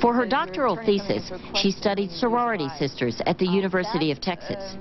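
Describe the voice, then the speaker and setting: Amid noticeable background noise, a woman talks at a fairly quick pace in a medium pitch. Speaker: TV news reporter. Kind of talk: TV news report narration.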